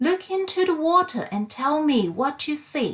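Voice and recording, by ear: A woman's put-on character voice, high-pitched with big pitch swings, a fairly bright tone and a fairly slow pace.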